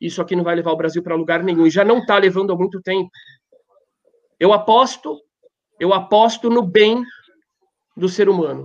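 With long, frequent pauses, a man talks at a moderate pace in a high pitch, keeping his intonation fairly even. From Brazil. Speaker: rabbi. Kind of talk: panel discussion. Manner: impassioned.

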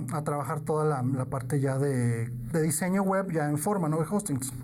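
A man speaks at a moderate pace with hardly any pauses, fairly high pitch, ordinary pitch variation, and very even loudness. Room echo and noticeable background noise are audible. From northern Mexico, Piedras Negras, Coahuila. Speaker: digital marketing specialist. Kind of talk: interview.

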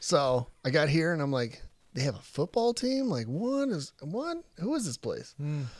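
A fairly high-pitched man with an American accent, fairly slow pace and very wide pitch swings. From Texas (Crandall, near Dallas). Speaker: military recruiter. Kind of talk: casual chat.

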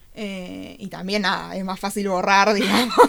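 A woman speaking at a medium pitch. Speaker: art teacher. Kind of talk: radio interview.

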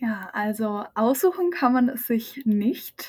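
Very slowly, a woman talks in a fairly high pitch. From Lower Franconia, Bavaria (near Aschaffenburg). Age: 20s. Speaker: exchange program participant, trained media clerk. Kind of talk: casual interview.

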